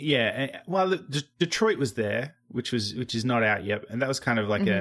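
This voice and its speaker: A man with an Australian accent, very slow, with very wide pitch swings and very even loudness. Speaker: podcast host. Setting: living on the US East Coast.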